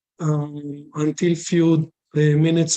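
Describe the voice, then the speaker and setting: The voice has a dark, mellow tone and a non-native accent. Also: man. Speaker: company presenter. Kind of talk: business presentation. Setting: video call. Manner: halting, many fillers.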